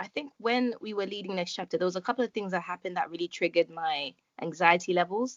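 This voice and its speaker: A woman talks at a fairly quick pace, her medium pitch showing ordinary variation. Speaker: podcast host. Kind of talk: casual chat. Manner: calm.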